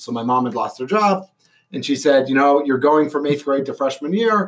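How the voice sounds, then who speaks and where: This man has a Boston accent and a fairly high pitch. He talks at a fairly quick pace with lively intonation. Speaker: stadium announcer and radio personality. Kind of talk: casual chat.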